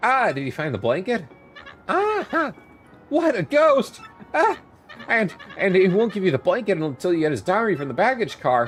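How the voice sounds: A man's put-on character voice, high-pitched and shaky, with very wide pitch swings, a moderate pace, long, frequent pauses and clear music in the background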